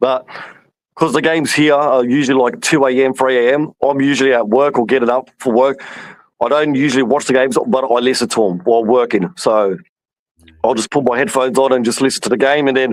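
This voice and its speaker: With an Australian accent, a man talks at a fairly quick pace in a medium pitch, his loudness very even and his pitch varying in an ordinary way. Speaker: football fan. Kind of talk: casual chat.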